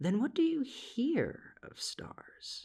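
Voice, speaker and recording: This man puts on a character voice. He pushes it to an extremely high pitch. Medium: read story. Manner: soft, calm, unhurried.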